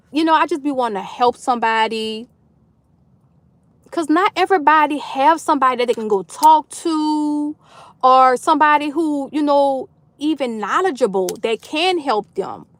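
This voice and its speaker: A woman's loud, animated voice, high-pitched for a woman, with very wide pitch swings, an American accent and a moderate pace, on a very clean recording with a silent background. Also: dry, close sound with no echo. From New Orleans, Louisiana, US South. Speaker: livestream host. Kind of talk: casual chat. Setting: livestream.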